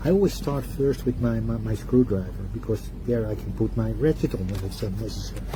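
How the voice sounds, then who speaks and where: A man's very deep, low voice at a fairly quick pace, with very wide pitch swings, hardly any pauses and noticeable background noise. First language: not English. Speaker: product reviewer. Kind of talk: product review demonstration. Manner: halting, self-correcting.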